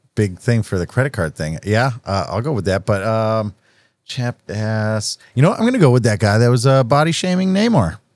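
Here a man with a normal speaking voice uses lively intonation. He keeps a moderate pace. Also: medium pitch for a man. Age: 30s. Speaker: podcast guest, plays in a band. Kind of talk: casual chat.

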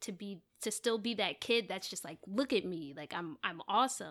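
A woman talks in a normal speaking voice at medium pitch with ordinary pitch variation and a moderate pace. The recording is very clean, with a silent background. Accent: American. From US, New Jersey (Maplewood). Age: 20s. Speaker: rapper. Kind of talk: casual chat.

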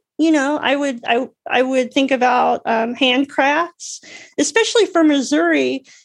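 Ordinary pitch variation marks this very slow speech with an American accent. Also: woman. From US South, Alabama. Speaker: artist and accessibility advocate. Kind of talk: casual interview. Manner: halting, many fillers and restarts.

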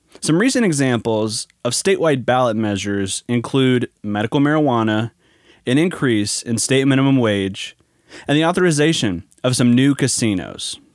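A man's ordinary speaking voice at a medium pitch, moderate pace, very even loudness and ordinary pitch variation. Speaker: podcast host. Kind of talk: scripted narration.

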